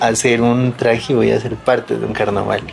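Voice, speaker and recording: Over noticeable background noise, a man speaks at medium pitch. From Colombia, Pasto (Nariño). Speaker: carnival costume maker. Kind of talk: interview testimony. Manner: halting.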